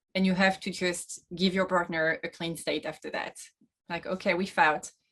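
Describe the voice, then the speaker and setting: At a moderate pace, a woman with a French accent speaks at a medium pitch with fairly even intonation. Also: long, frequent pauses. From France. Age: 30s. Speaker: sailor, boat-life vlogger. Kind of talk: interview.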